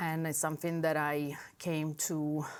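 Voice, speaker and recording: On a very clean recording with a silent background, a woman with a strong Italian accent speaks in a very deep, low pitch. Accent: heavy Italian. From Italy. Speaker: high school language teacher. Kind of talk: interview.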